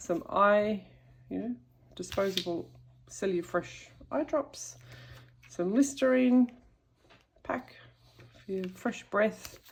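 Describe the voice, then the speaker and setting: Lively in her intonation, a woman at medium pitch moves at a very slow pace with long, frequent pauses. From Australia. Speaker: YouTuber. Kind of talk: show-and-tell tutorial. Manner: casual, hesitant with fillers.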